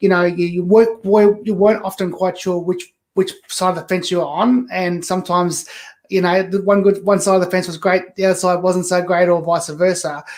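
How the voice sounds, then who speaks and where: The speech moves at a fairly quick pace with hardly any pauses. Intonation is monotone and flat. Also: man, high pitch for a man. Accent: Australian. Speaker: author. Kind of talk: interview.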